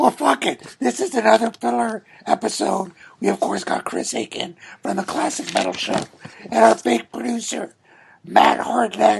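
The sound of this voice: His voice is high-pitched for a man, with a husky, rough edge and vocal fry. He speaks at a moderate pace with ordinary pitch variation.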